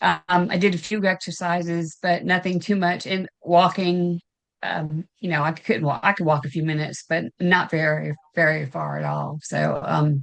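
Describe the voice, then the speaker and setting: A woman's fairly low voice with a Southern US accent, fairly even intonation and a moderate pace. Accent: Southern US (Georgia). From US South, Augusta, Georgia. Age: 60s. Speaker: weight loss client. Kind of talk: interview testimony. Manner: halting, many fillers.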